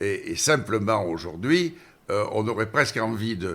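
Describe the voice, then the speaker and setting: A man with a southern French accent speaks at a fairly low pitch, his voice swinging very widely up and down. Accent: southern French, sing-song. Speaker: former mayor. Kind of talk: interview answer.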